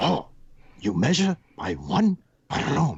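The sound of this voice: A put-on character voice at low-to-middle pitch, with very wide pitch swings and a fairly slow pace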